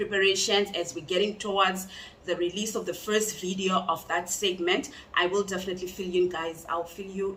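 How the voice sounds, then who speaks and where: The voice belongs to a woman of medium pitch. Background noise is noticeable. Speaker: true crime youtuber. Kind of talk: true crime storytelling. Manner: loud.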